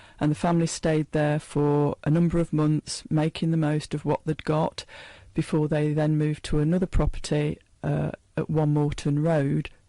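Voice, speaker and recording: In an East Midlands accent, the speaker delivers a dark, mellow tone with monotone, flat intonation and very even loudness, the sound dry and close with no echo over a quiet background. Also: woman, very deep, low pitch for a woman, moderate pace. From England, Leicester. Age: 60s. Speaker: author talking about her late father's memoir. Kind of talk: radio interview.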